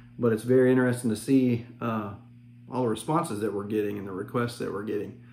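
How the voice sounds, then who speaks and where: The intonation is monotone and flat. A man speaks with audible room echo. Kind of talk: casual vlog chat. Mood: relaxed, friendly. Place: home room. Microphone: phone near.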